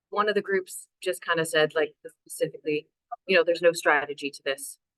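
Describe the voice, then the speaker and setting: Fairly quick speech comes in an ordinary speaking voice with a Canadian accent. The intonation is fairly even, while the loudness swings widely. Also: woman, fairly low pitch for a woman. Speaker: city council climate action officer. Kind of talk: webinar presentation.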